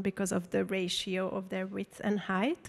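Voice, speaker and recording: A woman speaks with a Hungarian accent. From Hungary. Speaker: artist and photographer. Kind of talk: public talk Q&A. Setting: stage with audience. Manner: casual, many fillers.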